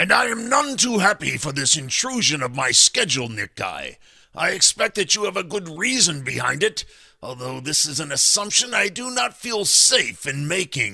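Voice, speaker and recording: A man speaks at a moderate pace in a high voice that swings very widely in pitch. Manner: pompous, disdainful.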